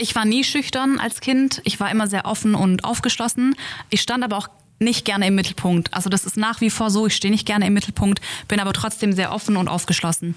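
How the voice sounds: A woman's fairly quick, medium-pitched speech with fairly even intonation and few pauses.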